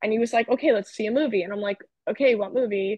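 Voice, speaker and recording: Someone talks at a very fast clip with an American accent. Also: woman. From New Jersey. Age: 20s. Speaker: podcast guest. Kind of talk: casual chat.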